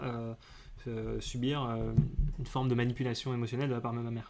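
The pace is fairly quick. A man speaks at a medium pitch. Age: 20s. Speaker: communications worker interviewed about love life. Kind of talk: casual interview. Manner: halting.

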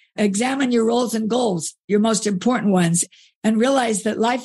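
The background is quiet and the voice somewhat breathy. The pace is fairly quick, with ordinary pitch variation. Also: woman. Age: 60s. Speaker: author and speaker. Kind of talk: interview conversation.

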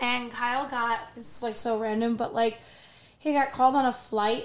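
A woman speaks at a moderate pace in a high voice. Her intonation stays fairly even. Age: 40s. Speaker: podcast co-host. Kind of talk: casual chat.

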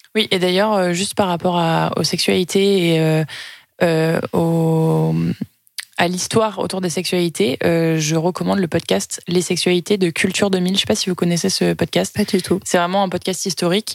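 A woman's fairly low voice, flat and monotone, at a moderate pace with very even loudness. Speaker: podcast co-host. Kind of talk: casual chat.

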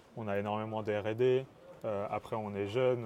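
Delivery is somewhat slow, and the intonation stays fairly level. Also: man. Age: 20s. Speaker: engineering student and startup co-founder. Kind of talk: casual interview. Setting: startup incubator.

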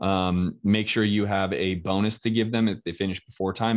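A man speaks in a plain, everyday voice at a fairly low pitch and moderate pace. The intonation is fairly even, and the background is quiet. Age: 40s. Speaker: real estate investor. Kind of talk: casual interview. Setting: live video stream.

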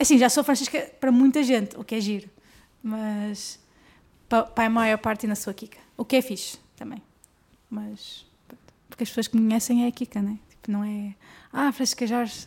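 Somewhat breathy, a woman with fairly high pitch speaks with long, frequent pauses. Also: moderate pace. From northern Portugal, Guimarães. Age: 20s. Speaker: professional tennis player. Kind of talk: casual interview chat.

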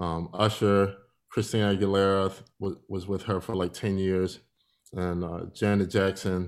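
Speaking with an American accent at a moderate pace, this man has a very deep, low pitch and a monotone, flat delivery, recorded very cleanly against a silent background. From Philadelphia, US. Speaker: musician and entrepreneur. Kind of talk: interview.

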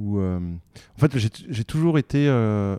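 A man's fairly low, dark, mellow voice at a very slow pace with ordinary pitch variation, dry and close with no echo, in a very clean recording with a silent background. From Paris, France. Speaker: mountaineer and mountain guide. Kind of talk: interview storytelling. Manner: hesitant, many fillers and repetitions.

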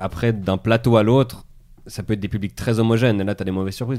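A man talks in a fairly low pitch with fairly even intonation. Music plays in the background. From Switzerland. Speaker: stand-up comedian. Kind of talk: casual chat.

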